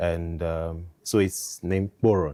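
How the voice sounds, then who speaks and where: A man with a Nigerian accent and a dark, mellow tone on a very clean recording with a silent background. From southern Nigeria, Delta State (Urhobo). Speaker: guest sharing faith journey. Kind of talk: interview testimony.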